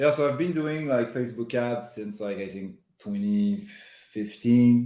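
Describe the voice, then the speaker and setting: In a strong Quebec accent, a man talks at a moderate pace with a dark, mellow tone. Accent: thick Quebec French. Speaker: marketing executive. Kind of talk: interview.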